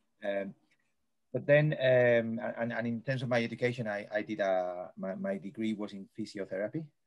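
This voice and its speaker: Keeping a moderate pace, a man speaks with a Spanish accent. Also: ordinary pitch variation. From Spain, Madrid. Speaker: sports coaching professor. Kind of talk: interview. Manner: high energy.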